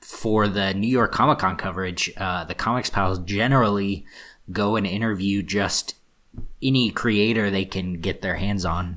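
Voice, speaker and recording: Recorded very cleanly against a silent background, a man with fairly low pitch and fairly even intonation has a plain, everyday voice. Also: fairly slow pace. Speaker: podcast co-host. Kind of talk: casual chat. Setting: studio.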